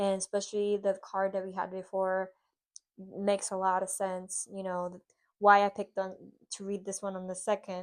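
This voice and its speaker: A moderate pace against a quiet background. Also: woman. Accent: Spanish. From Puerto Rico. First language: Spanish. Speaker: lifestyle vlogger. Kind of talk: tutorial. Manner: halting.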